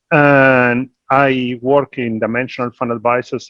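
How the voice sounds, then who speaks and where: A dry, close sound with no echo, in an Argentine accent. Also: man. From Argentina. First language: Spanish. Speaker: investment executive. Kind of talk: panel discussion.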